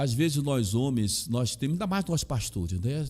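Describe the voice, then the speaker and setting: A somewhat breathy man with a Bahian accent, a dark, mellow tone, lively intonation and a moderate pace. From Brazil, Salvador, Bahia. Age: 60s. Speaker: pastor and chaplain. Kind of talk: interview.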